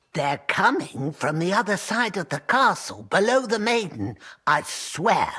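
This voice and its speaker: A put-on character voice sits at a middle pitch. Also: moderate pace. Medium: video game. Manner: fussy, superstitious.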